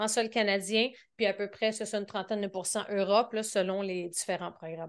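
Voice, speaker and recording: In a Quebec accent, a woman speaks at a moderate pace with ordinary pitch variation against a quiet background. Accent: Québécois. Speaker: business coach. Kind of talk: podcast interview.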